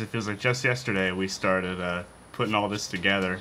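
A man at a fairly quick pace, ordinary pitch variation, with light background noise. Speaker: channel host. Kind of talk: casual vlog chat. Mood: playful, joking. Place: garden.

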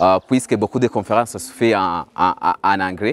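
A man with a Burundian accent speaks at a fairly low pitch with ordinary pitch variation, in a dry sound with no echo. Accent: Burundian francophone English. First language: French. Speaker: graduate student. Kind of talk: interview testimonial; interview answer. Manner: halting. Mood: friendly, smiling. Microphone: lapel.

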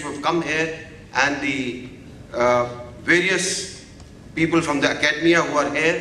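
Amid light background noise and audible room echo, a man speaks at a fairly slow pace with ordinary pitch variation. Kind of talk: formal address at a seminar. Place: hall. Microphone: podium.

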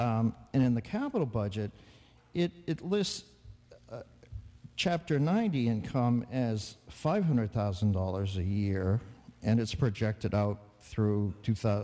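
A man's fairly low voice with a dark, mellow tone, lively intonation and a fairly slow pace. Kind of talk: public meeting floor argument. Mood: critical, argumentative. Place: hall. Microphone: podium.

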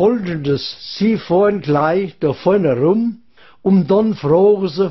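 A man with a Hessian accent speaks at a high pitch and a very slow pace, with ordinary pitch variation. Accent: Odenwald dialect. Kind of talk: comic dialect monologue giving directions. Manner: rambling, chatty.

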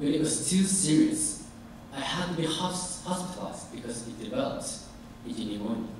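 A man at a moderate pace amid strong room echo and light background noise. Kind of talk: formal speech. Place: hall.

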